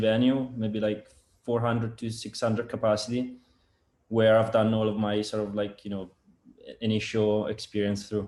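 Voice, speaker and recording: Speaking at a fairly quick pace, a man holds a medium pitch in a monotone, flat intonation. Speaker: sound engineer and product developer. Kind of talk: casual interview chat. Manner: halting, many fillers and repetitions.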